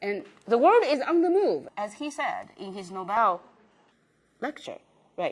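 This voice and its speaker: A woman speaks with a non-native accent. Her intonation is lively. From China. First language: Chinese. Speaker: professor. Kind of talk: lecture. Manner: halting, many fillers.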